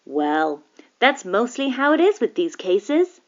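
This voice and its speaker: Putting on a character voice, a woman speaks at a high pitch and a moderate pace, with very wide pitch swings. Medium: read story. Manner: measured, reassuring.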